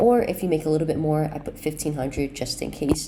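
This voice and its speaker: A woman's very deep, low voice sounds through noticeable background noise. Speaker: futures day trader. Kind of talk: casual talk to camera.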